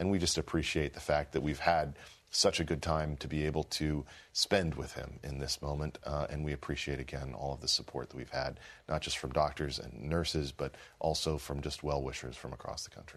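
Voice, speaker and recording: A man with an American accent speaks at a fairly quick pace in a very deep, low pitch. His intonation is monotone and flat, with vocal fry. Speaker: political commentator and publisher. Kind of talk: panel discussion.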